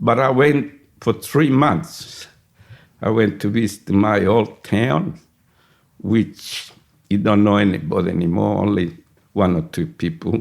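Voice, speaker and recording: With an Italian accent, a man speaks at a fairly slow pace in a fairly low pitch, his intonation lively, his loudness very even, and his pauses long and frequent. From Sicily, Italy. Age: 80s+. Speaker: retired barber and migrant. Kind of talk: oral history interview.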